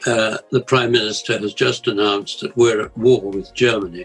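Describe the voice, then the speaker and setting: Fairly even intonation from a man with a southern English accent, medium pitch and moderate pace, music in the background. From England, Essex. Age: 80s+. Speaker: war survivor. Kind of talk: interview answer.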